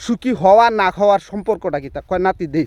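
A man with a high pitch and ordinary pitch variation is heard in a dry, close sound with no echo. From Bangladesh, Sunamganj (Sylhet region). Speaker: village storyteller vlogger. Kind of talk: humorous storytelling.

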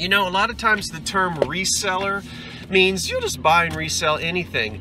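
Noticeable background noise surrounds a man whose voice comes through dry, with no echo. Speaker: antiques reseller vlogger. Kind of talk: casual vlog chat. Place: car. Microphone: phone near.

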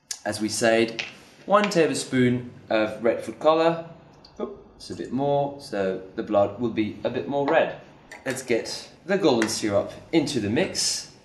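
The man speaks at a fairly slow pace, leaving long, frequent pauses as his loudness swings widely. Audible room echo and light background noise surround him. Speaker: presenter. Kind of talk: tutorial. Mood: light, cheerful. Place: studio.

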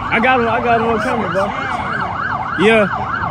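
There is loud background noise behind a man, and the sound is dry with no echo. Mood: shocked and concerned. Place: street. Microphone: phone near.

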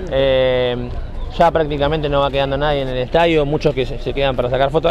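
Very fast speech from a man with a Rioplatense accent, over light background noise. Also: dry sound with no echo. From Argentina. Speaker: sports youtuber interviewing fans. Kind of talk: street interviews with fans. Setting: outdoors at a football stadium after a match. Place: street. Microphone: handheld.

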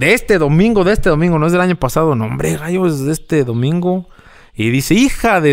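A man speaks fairly quickly in a rural Mexican accent. His fairly high voice has lively intonation. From rural central Mexico. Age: 30s. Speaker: social media content creator and former radio announcer; social media content creator, former radio announcer. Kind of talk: casual interview. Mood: relaxed, reflective storytelling. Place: garage. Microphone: studio mic.

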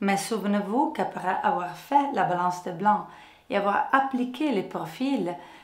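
Lively intonation in an Italian accent at a fairly slow pace, with audible room echo. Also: woman. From Italy. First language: Italian (speaking French). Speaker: photographer and software trainer; software trainer. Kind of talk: tutorial. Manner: friendly, smiling delivery. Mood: friendly, smiling.

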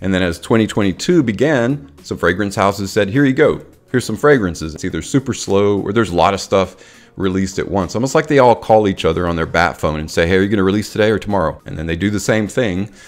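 Faint music plays in the background while the speech moves at a very fast pace. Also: man, fairly low pitch for a man. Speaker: fragrance reviewer. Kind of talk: casual vlog chat. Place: home room. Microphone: studio mic.

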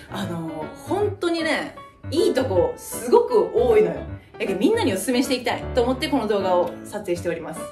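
Clear music plays in the background as a woman talks with a Kyushu accent at a fairly quick pace. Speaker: mother vlogger. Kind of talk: casual talk to camera. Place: home room. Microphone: camera far.

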